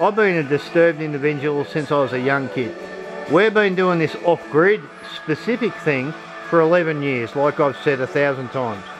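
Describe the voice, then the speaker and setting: A man speaking at a moderate pace over clear background music. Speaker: off-grid support group host. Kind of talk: casual vlog chat.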